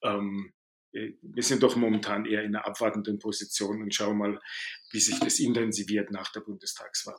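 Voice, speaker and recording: Male voice at medium pitch in a Baden accent, monotone and flat, at a moderate pace. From Baden, southwest Germany. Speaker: management consultant. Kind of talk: interview.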